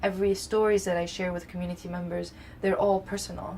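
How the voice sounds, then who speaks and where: Somewhat breathy and monotone, a woman speaks at a fairly quick pace with flat intonation at a medium pitch. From Lebanon. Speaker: community organizer. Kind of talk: interview. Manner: halting, many fillers.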